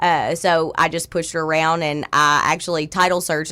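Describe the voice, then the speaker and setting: Loud and bright with a sharp tone, a woman speaks in a very deep, low pitch with a Southern US accent. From South Arkansas, El Dorado. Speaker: title company owner. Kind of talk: radio interview. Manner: animated.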